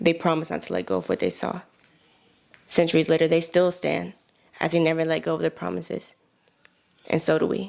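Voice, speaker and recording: A woman at a fairly quick pace, broken by long, frequent pauses. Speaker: spoken word poet. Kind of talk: spoken word poetry performance.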